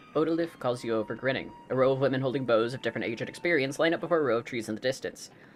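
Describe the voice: Ordinary pitch variation accompanies this plain reading aloud.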